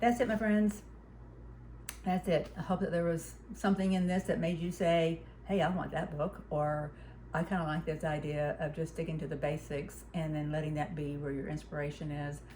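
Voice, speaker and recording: A woman's very deep, low voice, dark and mellow, with vocal fry, ordinary pitch variation and a moderate pace. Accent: Southern US. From US South, Huntsville, Alabama. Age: 60s. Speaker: quilter and craft vlogger. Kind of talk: casual chat. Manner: halting.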